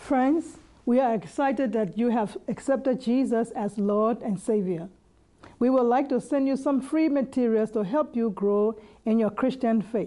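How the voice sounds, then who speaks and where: A woman talks at a fairly high pitch and a moderate pace, with ordinary pitch variation. It is an ordinary speaking voice, and her loudness stays very even. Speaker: church announcer. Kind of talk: scripted announcement.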